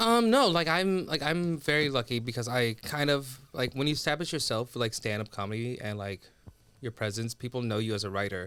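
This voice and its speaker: This man has a plain, everyday voice, medium in pitch, and talks at a fairly quick pace. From US, raised from age three after Sudan. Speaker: comedian and TV writer. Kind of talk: casual chat.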